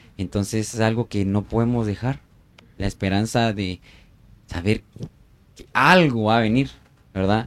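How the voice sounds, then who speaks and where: A man speaks at a fairly slow pace with long, frequent pauses, ordinary pitch variation and big swings in loudness. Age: 20s. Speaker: architect and missionary. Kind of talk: casual chat.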